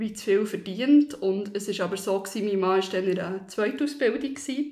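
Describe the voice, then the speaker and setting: Moderate-paced speech from a woman, medium in pitch, with ordinary pitch variation. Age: 30s. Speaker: office worker sharing personal debt story. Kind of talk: personal testimony interview. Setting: studio, seated next to host. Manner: hesitant, many fillers.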